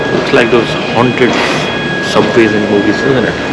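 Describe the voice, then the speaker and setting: Music sounds in the background. Over it, a man speaks at a moderate pace. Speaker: travel vlogger. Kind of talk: casual vlog chat. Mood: surprised, mildly joking. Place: station. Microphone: phone near.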